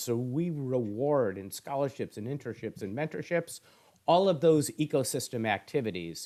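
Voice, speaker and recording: An ordinary speaking voice from a man with an American accent, medium in pitch, at a moderate pace, with lively intonation and big swings in loudness, on a very clean recording with a silent background. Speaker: esports education foundation executive. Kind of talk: interview.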